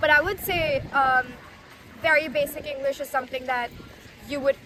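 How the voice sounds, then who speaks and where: A woman's high-pitched, raised and projected voice at a fairly quick clip, with fairly even intonation and noticeable background noise. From India. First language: Hindi. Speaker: street interviewee. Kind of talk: street interview.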